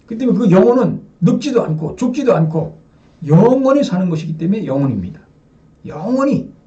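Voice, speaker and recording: A man at a fairly quick pace with very wide pitch swings, amid noticeable background noise and audible room echo. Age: 60s. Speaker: religious lecturer. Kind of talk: sermon. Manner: addresses audience with rhetorical questions.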